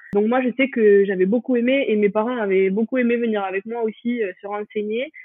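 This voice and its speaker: A woman speaks with a fairly high pitch and fairly even intonation over noticeable background noise. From France, Pyrenees. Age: 20s. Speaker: law student. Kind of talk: interview testimony. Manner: hesitant, many fillers.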